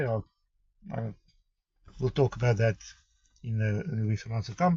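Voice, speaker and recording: A somewhat breathy man with a South African accent and lively intonation. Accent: Afrikaans South African English. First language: Afrikaans. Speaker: vlogger sharing life with chronic pain condition. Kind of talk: personal introduction vlog. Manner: halting, with many fillers and restarts.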